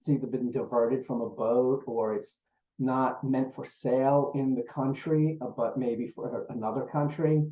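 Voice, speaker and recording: A man speaks at a medium pitch with an American accent. His intonation is monotone and flat. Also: moderate pace. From New York. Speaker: procurement executive. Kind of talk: webinar presentation.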